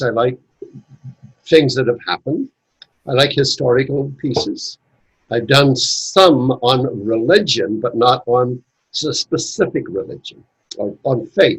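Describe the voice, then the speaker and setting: Somewhat breathy speech at a fairly slow pace, with long, frequent pauses and a dry, close sound with no echo. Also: man, medium pitch for a man, ordinary pitch variation. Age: 80s+. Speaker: Masonic educator and author. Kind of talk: casual chat.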